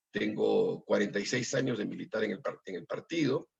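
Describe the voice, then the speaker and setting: The sound is close and dry, without any echo. A man speaks fairly quickly. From Peru. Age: 60s. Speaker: political candidate. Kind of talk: interview. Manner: halting.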